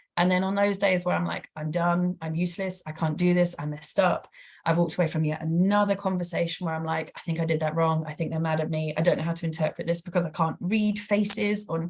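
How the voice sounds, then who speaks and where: Somewhat breathy and fairly low-pitched, a woman with a British accent talks at a very fast pace with fairly even intonation. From Britain. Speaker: professor, former palliative care nurse. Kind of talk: lecture Q&A answer.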